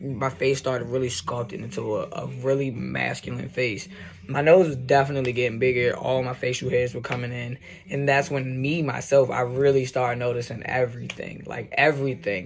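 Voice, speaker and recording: A man talks fairly quickly at a medium pitch with ordinary pitch variation, noticeable background noise behind him. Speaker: video blogger. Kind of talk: vlog monologue. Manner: casual, halting with fillers.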